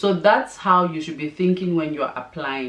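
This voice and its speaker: A woman talks at a fairly quick pace with a non-native accent. Her pitch is fairly low. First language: not English. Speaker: scholarship advice vlogger. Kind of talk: tutorial.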